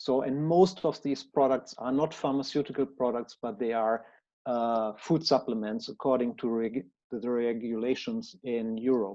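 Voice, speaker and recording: A man with a German accent speaks at a moderate pace in a dark, mellow tone with ordinary pitch variation, over a quiet background. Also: medium pitch for a man. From Germany. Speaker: researcher. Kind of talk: conference presentation. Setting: conference talk. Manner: formal.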